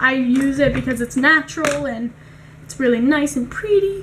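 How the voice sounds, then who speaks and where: Over noticeable background noise, a woman speaks with a high voice at a fairly slow pace. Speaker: beauty youtuber. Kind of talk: tutorial. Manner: casual; soft-spoken.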